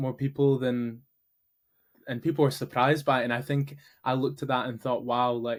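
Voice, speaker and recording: Here is a man with a Glaswegian accent, medium in pitch and monotone, flat in intonation. He speaks at a moderate pace on a very clean recording with a silent background. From Scotland, Glasgow area. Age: 20s. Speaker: entrepreneur, founder of a meetup community. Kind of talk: podcast interview.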